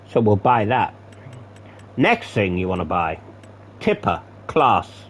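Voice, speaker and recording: A man talks at a fairly slow pace while noticeable background noise plays behind him. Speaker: gaming commentator. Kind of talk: gameplay commentary. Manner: casual, swearing asides.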